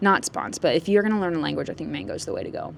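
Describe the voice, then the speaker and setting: This woman's voice sits at a fairly low pitch. Behind it, background noise is noticeable. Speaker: vlogger. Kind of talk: casual vlog monologue. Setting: outdoors on a walk by a road. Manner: animated.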